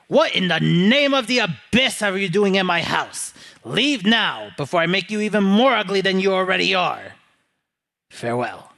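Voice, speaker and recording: A man speaks in a put-on character voice pitched high, with lively intonation at a moderate pace. The recording is very clean, with a silent background. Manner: threatening.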